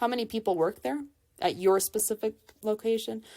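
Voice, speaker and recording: Her tone dark and mellow, a woman with a fairly high pitch talks at a fairly quick pace with lively intonation on a very clean recording over a silent background. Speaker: college instructor. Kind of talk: lecture. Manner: fast.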